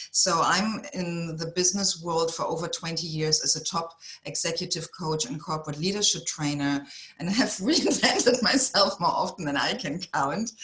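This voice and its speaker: With a German accent, a woman speaks at a moderate pace in a fairly low pitch with ordinary pitch variation, over noticeable background noise. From Germany. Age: 50s. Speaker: executive coach. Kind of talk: podcast interview.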